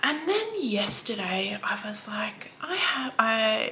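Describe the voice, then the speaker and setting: With an Australian accent, a woman speaks at a fairly high pitch with lively intonation. Audible room echo and noticeable background noise are present. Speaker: book vlogger. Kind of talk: casual vlog chat.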